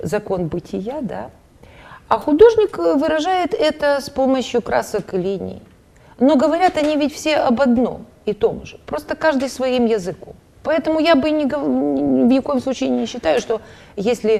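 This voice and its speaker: Very wide pitch swings from a woman with a high voice, at a moderate pace. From Ukraine, Dnipropetrovsk. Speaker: painter. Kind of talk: TV interview. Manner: halting, many fillers.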